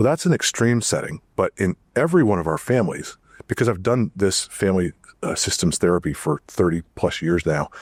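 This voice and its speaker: In a very clean recording with a silent background and a dry, close sound with no echo, a man with a fairly low pitch uses a normal speaking voice with lively intonation. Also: fairly quick pace. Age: 60s. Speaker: family therapist. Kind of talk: casual chat. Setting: studio.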